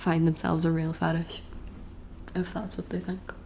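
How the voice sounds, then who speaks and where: Soft-spoken, a woman talks in a fairly low pitch. Her intonation stays monotone and flat. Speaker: ASMR creator. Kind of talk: casual talk to camera, get-ready-with-me video. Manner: soft-spoken, rambling.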